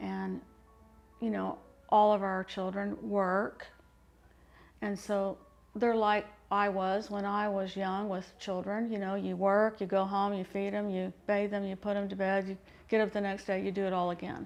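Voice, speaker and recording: Over music in the background, a woman of medium pitch talks at a moderate pace in a monotone, flat intonation, with long, frequent pauses. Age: 60s. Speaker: interviewee, grandmother. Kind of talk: interview.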